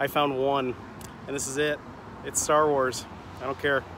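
A man talks at a moderate pace in a medium pitch. His voice shows little pitch movement.

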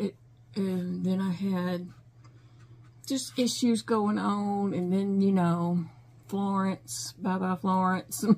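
A woman speaks fairly slowly in a somewhat breathy voice. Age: 50s. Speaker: crochet YouTuber. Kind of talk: casual chat. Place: home room. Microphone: phone near.

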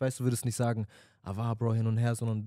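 Against a quiet background, a man with a dark, mellow tone talks at a fairly quick pace, the sound dry with no echo. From Stuttgart, Germany; Germany. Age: 20s. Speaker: podcast co-host. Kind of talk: casual chat. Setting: studio. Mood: reflective, earnest. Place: studio. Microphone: handheld.

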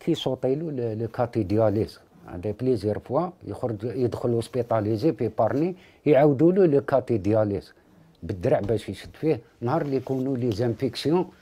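Speaking at a moderate pace, a man with an Algerian accent uses lively intonation. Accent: Algerian Arabic with French loanwords. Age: 50s. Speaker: father of a sick child. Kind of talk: interview testimony. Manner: halting. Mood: worried, pleading for help. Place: home room.

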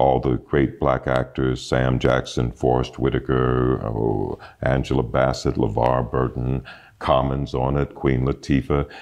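The delivery is monotone and flat at a fairly slow pace, with noticeable background noise. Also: man, very deep, low pitch for a man. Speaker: voice actor. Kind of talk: interview answer.

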